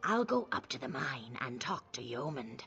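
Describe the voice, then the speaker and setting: A put-on character voice carries the clip. Clear music plays in the background. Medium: video game. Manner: precise, self-assured.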